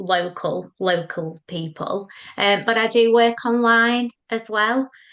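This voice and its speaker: A woman speaks with a northern English accent. The background is quiet. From northern England. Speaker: psychotherapist. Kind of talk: podcast interview.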